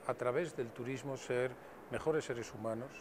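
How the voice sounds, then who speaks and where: The speaker is a man with a Spanish accent. He keeps a moderate pace. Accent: Spanish (Spain). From Spain. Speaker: tourism official. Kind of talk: interview. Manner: formal.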